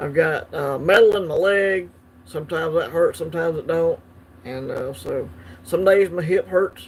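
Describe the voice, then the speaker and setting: The pace is moderate. A man talks in a Southern US accent. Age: 50s. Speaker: coin collecting livestream host. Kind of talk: casual livestream chat. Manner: hesitant, many fillers.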